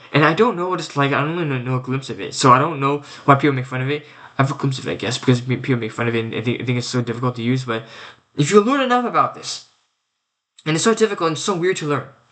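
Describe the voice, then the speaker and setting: Talking at a very fast pace, a man has a fairly high pitch and a bright, sharp tone. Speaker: vlogger. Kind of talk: casual monologue rant. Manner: stuttering; halting, repetitive.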